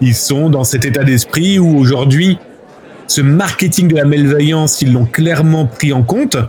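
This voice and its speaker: Noticeable background noise sits behind a man speaking at a fairly slow pace. His pitch is fairly high, and his loudness stays very even. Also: ordinary pitch variation. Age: 40s. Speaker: journalist and cybercrime researcher. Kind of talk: interview. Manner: animated, with many fillers.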